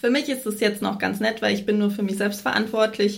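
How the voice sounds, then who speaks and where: With vocal fry and monotone, flat intonation, a woman speaks at a medium pitch and a fairly quick pace. Audible room echo surrounds the voice. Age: 30s. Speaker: freelance journalist. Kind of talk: interview.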